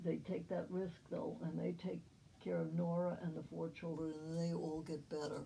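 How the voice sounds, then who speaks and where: With an American accent, a woman speaks at a moderate pace and very even loudness, with audible room echo. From New Jersey and New York City. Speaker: family historian. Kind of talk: family history narration. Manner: halting.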